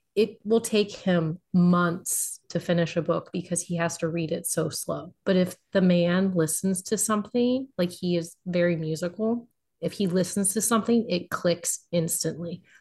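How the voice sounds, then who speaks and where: With a somewhat breathy, fairly low voice, a woman speaks at a moderate pace in fairly even intonation, barely pausing at all. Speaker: podcast contributor, romance reader. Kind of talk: casual chat.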